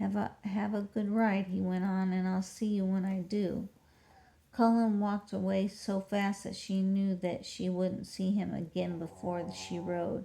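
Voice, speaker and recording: Somewhat breathy and medium in pitch, a woman speaks at a fairly slow pace in a monotone with flat intonation. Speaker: audiobook reader. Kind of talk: reading aloud. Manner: soft-spoken.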